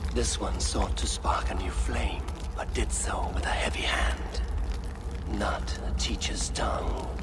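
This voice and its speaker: Over loud background noise, a man does a cartoonish character voice at a fairly slow pace. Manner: solemn, cryptic.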